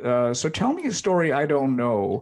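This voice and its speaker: A man with an unremarkable speaking voice, fairly high pitch and a moderate pace, against a quiet background. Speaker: podcast host. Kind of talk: interview with sponsor reads.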